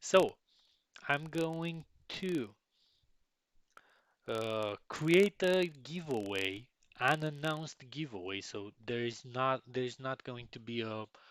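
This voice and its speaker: Recorded dry and close with no echo, a man with a medium pitch speaks very slowly with lively intonation, long, frequent pauses and big swings in loudness. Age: 20s. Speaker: game developer hosting a community Q&A. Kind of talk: live stream Q&A. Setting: live video stream. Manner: halting, many repetitions and restarts; animated, playful.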